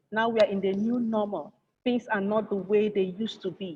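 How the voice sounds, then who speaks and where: A woman speaks at a moderate pace in a dark, mellow tone that is somewhat breathy. Her intonation stays fairly even. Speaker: engineer and conference speaker. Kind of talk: conference presentation. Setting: virtual conference.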